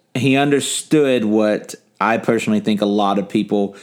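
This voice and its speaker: Using an ordinary speaking voice, a man talks at a fairly slow pace and a medium pitch with ordinary pitch variation. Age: 30s. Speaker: podcast host. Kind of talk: casual interview; podcast outro. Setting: home, in person.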